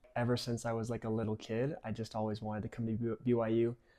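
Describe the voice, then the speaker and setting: In a Utah accent, a man speaks with flat, monotone intonation. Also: very clean recording, silent background. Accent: General American, Utah. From Utah, Cedar Hills. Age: 20s. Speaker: college soccer player. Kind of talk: interview.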